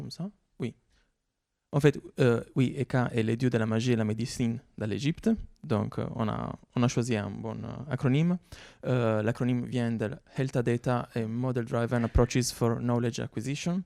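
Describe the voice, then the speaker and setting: With an Italian accent, a man speaks at medium pitch and a moderate pace, his tone dark and mellow with ordinary pitch variation and long, frequent pauses, in a very clean recording with a silent background and a dry, close sound with no echo. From Italy. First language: Italian (speaking French). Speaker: researcher. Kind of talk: conference talk. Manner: hesitant, many fillers.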